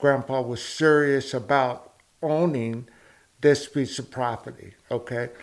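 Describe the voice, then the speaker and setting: With an Oklahoma accent, a man talks at a fairly slow pace with fairly even intonation. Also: medium pitch for a man. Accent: US South, Oklahoma. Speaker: former small-town mayor. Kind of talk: interview.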